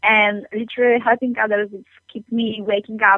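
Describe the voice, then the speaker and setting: At a moderate pace, a woman speaks in a monotone with flat intonation. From Poland. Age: young. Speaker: entrepreneur. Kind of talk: interview. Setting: phone call.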